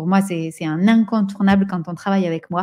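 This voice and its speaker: A woman's somewhat breathy voice, dark and mellow in tone, with fairly even intonation, on a very clean recording with a silent background. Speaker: entrepreneur and business coach. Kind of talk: live stream talk with audience comments. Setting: social media live stream. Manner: slow; halting, many repetitions and fillers.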